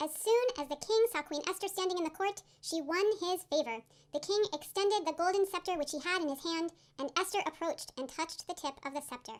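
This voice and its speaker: A woman speaks in a squeaky voice at an extremely high pitch. Her pace is fairly quick. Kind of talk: ceremonial scripture reading. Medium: stage play. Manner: measured, formal.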